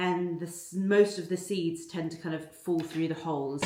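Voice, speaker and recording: Amid noticeable background noise, a woman speaks at a moderate pace. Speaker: lifestyle vlogger. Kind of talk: casual vlog talking to camera. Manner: chatty, friendly.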